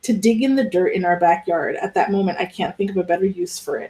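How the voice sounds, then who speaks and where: Fairly quick, somewhat breathy speech from a woman with a dark, mellow tone. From US, Cuban American family. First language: Spanish. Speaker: book club host. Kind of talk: book discussion with read-aloud passages.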